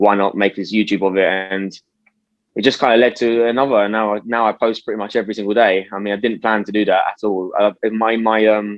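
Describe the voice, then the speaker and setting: A man with a British accent talks at a very fast pace. His fairly low voice stays monotone and flat. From UK. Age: 20s. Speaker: youtuber and stock investor. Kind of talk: casual interview.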